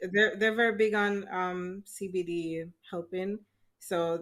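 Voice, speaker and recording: A woman with an unremarkable speaking voice talks at a medium pitch, her intonation fairly even. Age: 30s. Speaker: epilepsy advocate. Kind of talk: casual interview.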